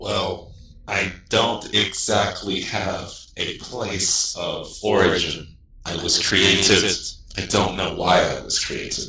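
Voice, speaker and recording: A man puts on a character voice. He goes at a fairly slow pace, with slight echo. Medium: actual play. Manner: calm, reserved.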